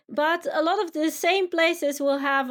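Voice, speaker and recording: Fairly slow delivery in a Dutch accent with ordinary pitch variation. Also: woman. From Netherlands. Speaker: tour company founder. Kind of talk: casual interview.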